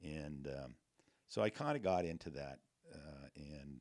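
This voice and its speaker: A man speaks with a western US accent. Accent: western American. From Montana. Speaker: real estate broker. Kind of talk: interview answer. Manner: casual, humorous.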